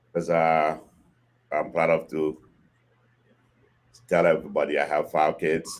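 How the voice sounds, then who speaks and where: At a moderate pace, a man talks with a Haitian accent. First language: Haitian Creole or French. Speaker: podcast guest, host's father. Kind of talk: casual chat. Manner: halting.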